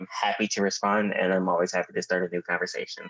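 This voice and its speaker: With an American accent, the voice sounds dry and close with no echo while music plays in the background. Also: man. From Texas. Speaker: writer and activist. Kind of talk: casual chat.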